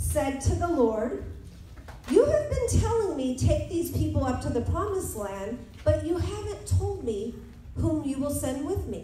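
Recorded with light background noise and audible room echo, a woman talks at a fairly slow pace. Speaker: preacher. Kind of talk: sermon. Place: church.

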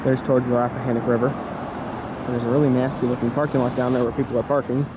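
Someone talks at a very fast pace in a dry sound with no echo, though noticeable background noise is present. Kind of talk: casual vlog commentary. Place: street. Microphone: phone near.

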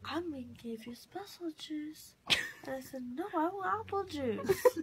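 A woman at a very slow pace, with very wide pitch swings and light background noise. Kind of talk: drowsy rambling chat. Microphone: phone near.

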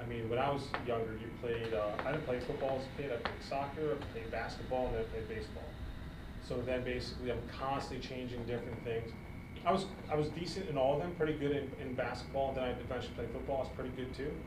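A man talking at a very fast pace amid noticeable background noise. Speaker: podcast co-host. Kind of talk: casual chat. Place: gym.

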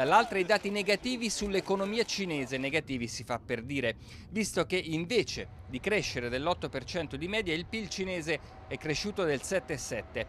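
Pitch swings very widely as the words come at a moderate pace. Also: man, high pitch for a man. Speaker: TV news reporter. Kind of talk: news reading. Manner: formal; brisk, steady, authoritative delivery.

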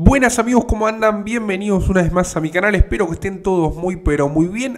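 Against a quiet background, a man with an Argentine accent speaks with ordinary pitch variation. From Argentina. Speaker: YouTuber. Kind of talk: casual commentary. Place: home room. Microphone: handheld.

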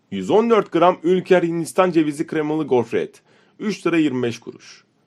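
The recording is very clean with a silent background as a man with a high pitch speaks at a fairly slow pace. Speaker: product catalog narrator. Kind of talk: reading product list with prices.

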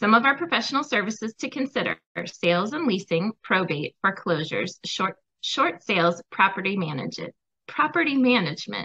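A woman talks fairly quickly, her pitch swinging very widely, while the background stays quiet. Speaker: co-host. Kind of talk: sponsor announcement. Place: home room. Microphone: video call.

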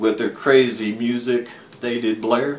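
A man with an American accent speaks at a fairly slow pace. Room echo is audible. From Texas. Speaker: storyteller and poet. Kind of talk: tall-tale poetry reading. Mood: drowsy, dramatic, playful. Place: home room. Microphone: webcam.

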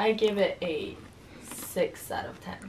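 A woman's raspy, put-on character voice at a moderate pace, with clear background noise. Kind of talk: casual, conversational. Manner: excited, enthusiastic.

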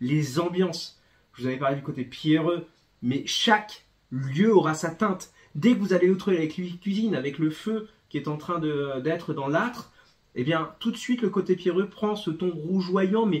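A man with a high-pitched voice talks at a fairly slow pace against a quiet background. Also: ordinary pitch variation. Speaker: bookseller presenting a comic. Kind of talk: book review talk. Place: shop.

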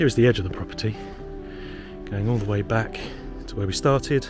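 A man's fairly low voice at a moderate pace, clear music in the background, dry sound with no echo. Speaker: property seller giving a tour. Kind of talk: walking property tour commentary. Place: street. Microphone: phone near.

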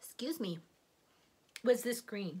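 Her voice is somewhat breathy, and the woman's pitch varies in an ordinary way. She keeps a moderate pace. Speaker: cross stitch and quilting vlogger. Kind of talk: casual show-and-tell haul video. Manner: halting with fillers.

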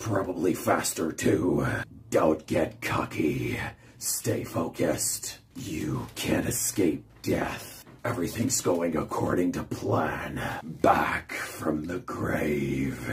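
A man speaks in a put-on character voice with a raspy edge. His pace is very slow. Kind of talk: video game character impression. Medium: solo performance. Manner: menacing, cold, contemptuous.

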